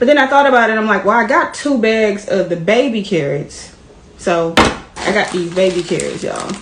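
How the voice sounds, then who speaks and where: Over noticeable background noise and audible room echo, a woman speaks with lively intonation. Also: medium pitch for a woman, moderate pace. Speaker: vlogger, stay-at-home mom. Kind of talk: casual vlog talk while cooking.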